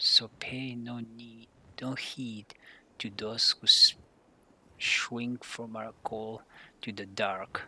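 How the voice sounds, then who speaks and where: Words come very slowly from a speaker with a non-native accent. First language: not English. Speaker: gaming streamer. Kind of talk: reading aloud. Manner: halting.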